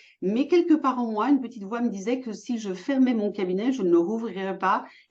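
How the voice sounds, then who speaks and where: Somewhat breathy and fairly high-pitched, a woman speaks at a fairly quick pace with lively intonation. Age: 60s. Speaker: entrepreneur, former physiotherapist. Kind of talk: interview.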